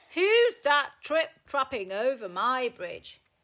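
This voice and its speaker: In a put-on character voice, a woman bellows gruffly at a high pitch and a very slow pace. The recording is very clean, with a silent background. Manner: roaring, gruff, hungry.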